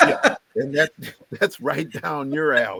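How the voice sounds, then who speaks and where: In an American accent, a man speaks at a fairly quick pace, the sound dry and close with no echo. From US South. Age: 70s. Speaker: professor. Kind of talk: interview. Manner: halting.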